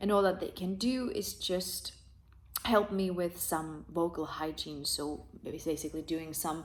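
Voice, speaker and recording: A woman with a non-native accent speaks at a fairly slow pace and fairly low pitch, with ordinary pitch variation. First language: not English. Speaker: rock singer. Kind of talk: video review monologue. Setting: talking to a camera. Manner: hesitant, many fillers.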